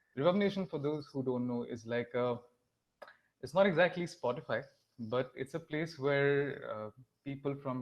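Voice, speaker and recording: A man speaks with an Assam accent at a moderate pace. His pitch varies in an ordinary way. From India, Assam (Guwahati). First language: Assamese. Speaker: musician. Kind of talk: panel discussion.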